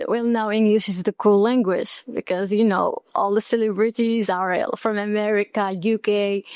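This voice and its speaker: A woman with an Arabic accent talks at a moderate pace with hardly any pauses. Her pitch is fairly high and her intonation fairly even. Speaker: student. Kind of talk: casual chat.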